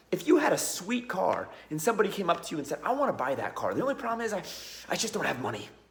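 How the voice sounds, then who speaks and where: A high-pitched male voice at a very fast pace, with very wide pitch swings and noticeable background noise. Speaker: business acquisitions educator. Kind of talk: casual vlog monologue.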